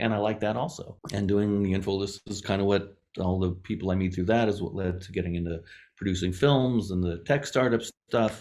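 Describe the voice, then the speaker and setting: A man's fairly low-pitched voice at a fairly quick pace with ordinary pitch variation, an ordinary speaking voice. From Las Vegas, US. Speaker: film composer and platform founder. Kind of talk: podcast interview.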